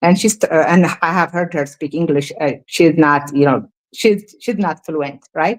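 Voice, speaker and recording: A woman with an Ethiopian accent speaks at a fairly slow pace in a fairly low pitch, with ordinary pitch variation. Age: 40s. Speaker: feminist commentator. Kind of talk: heated debate. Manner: halting, many fillers.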